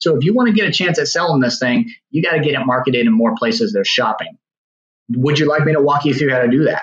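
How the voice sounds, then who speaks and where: With an American accent and a normal speaking voice, a man talks at a fairly quick pace, fairly high in pitch, with lively intonation. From Virginia. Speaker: real estate agent. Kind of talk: podcast interview.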